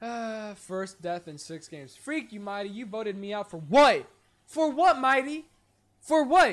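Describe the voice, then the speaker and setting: Against a quiet background, a man with a high pitch speaks at a fairly slow pace, with very wide pitch swings and big swings in loudness. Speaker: streamer. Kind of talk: casual live stream chat. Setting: live stream. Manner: animated, chatty. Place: home room.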